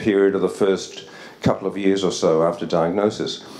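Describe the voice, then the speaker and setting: With vocal fry and audible room echo, a man talks at a fairly quick pace. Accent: Australian. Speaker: psychiatry researcher. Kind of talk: conference lecture. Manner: fast.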